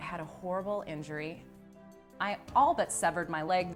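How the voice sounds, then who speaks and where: Music plays in the background while the woman talks at a moderate speed. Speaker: motivational speaker. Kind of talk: interview answer.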